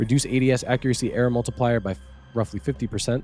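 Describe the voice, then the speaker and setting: A man talks at a very fast pace. There is music in the background. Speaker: gaming news YouTuber. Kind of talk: reading patch notes with casual commentary.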